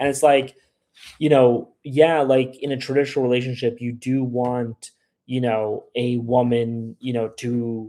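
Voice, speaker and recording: A man with an American accent speaks at a medium pitch in a dark, mellow tone, going at a fairly slow pace with monotone, flat intonation. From USA. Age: 30s. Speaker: live streamer on travel and dating abroad. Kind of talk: live stream chat answering viewers. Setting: live stream. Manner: casual, filler-heavy with repetitions.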